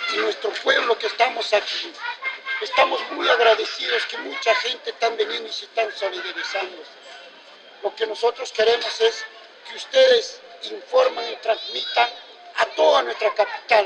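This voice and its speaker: A man talks at a moderate speed as a crowd can be heard in the background. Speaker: community activist. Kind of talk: protest speech.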